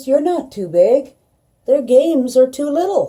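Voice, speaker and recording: A woman does a put-on character voice, pitched high, at a moderate pace with lively intonation. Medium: read story. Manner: slow, gentle.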